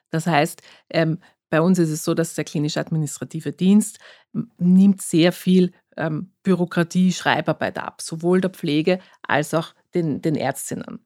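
A woman speaks at a fairly slow pace with a fairly low pitch and a dark, mellow tone. The sound is dry and close, with no echo. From Austria, Vienna. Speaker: physician, diabetologist. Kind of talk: interview.

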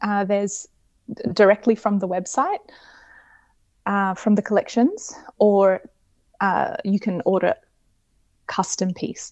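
A woman with an Australian accent speaks at a fairly slow pace, with ordinary pitch variation and long, frequent pauses. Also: medium pitch for a woman. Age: 30s. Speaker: fashion designer. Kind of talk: casual interview. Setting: remote call.

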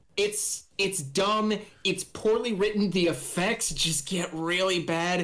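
A very slow pace with very even loudness. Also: man, high pitch for a man. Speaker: podcast co-host, flower shop worker. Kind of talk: casual chat.

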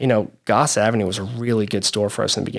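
In a very clean recording with a silent background, a man talks very fast at a fairly low pitch, keeping his intonation fairly even. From Louisville, Kentucky. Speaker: entrepreneur. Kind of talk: interview.

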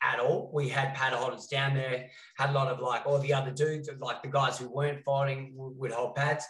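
A man with an Australian accent speaks at a fairly high pitch. His tone is bright and sharp, with monotone, flat intonation. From Western Australia. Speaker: fight coach and podcast co-host. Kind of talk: casual chat.

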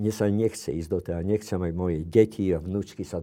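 A man's dark, mellow tone comes across over a quiet background. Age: 70s. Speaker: psychiatrist. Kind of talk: interview.

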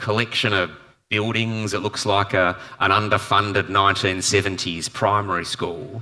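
The voice has a bright, sharp tone and an Australian accent, on a very clean recording with a silent background. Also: man. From Perth, Western Australia. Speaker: environmental campaign leader and author. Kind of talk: panel discussion. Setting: live event with audience. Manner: hesitant, many fillers and repetitions.

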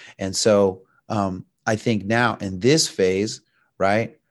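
A man with an American accent is heard over a quiet background. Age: 50s. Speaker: author and jiu-jitsu instructor. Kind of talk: casual interview conversation.

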